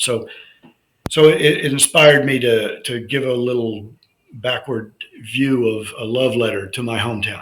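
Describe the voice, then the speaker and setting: A man speaks at a moderate pace with fairly even intonation, and the room echo is audible. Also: medium pitch for a man. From South Florida. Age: 70s. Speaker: author. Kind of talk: interview. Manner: halting.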